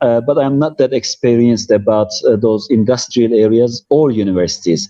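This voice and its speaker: Medium-pitched male speech in a Turkish accent, moderate in pace with fairly even intonation. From Turkey, Cappadocia. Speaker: tour guide. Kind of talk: live stream interview. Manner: halting.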